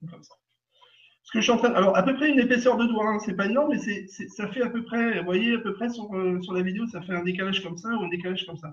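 Very fast delivery with big swings in loudness and ordinary pitch variation. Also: man, high pitch for a man. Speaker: energy healer. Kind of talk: guided session. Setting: live video stream. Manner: cheerful, laughing often.

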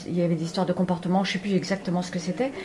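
The speech moves at a very fast pace. There is noticeable background noise. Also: woman. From Spain and Paris. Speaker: animal communicator. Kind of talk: radio interview.

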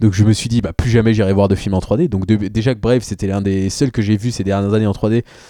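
Speaking at a very fast pace with hardly any pauses, a man uses a dark, mellow tone, a fairly low pitch and fairly even intonation. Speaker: film podcaster and short filmmaker. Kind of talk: casual debate.

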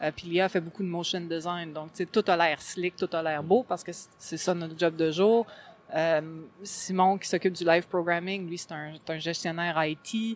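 At a moderate pace, a woman with a Quebec accent and a fairly low pitch keeps her intonation fairly even while her loudness swings widely. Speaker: gaming blogger. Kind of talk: interview. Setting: convention floor.

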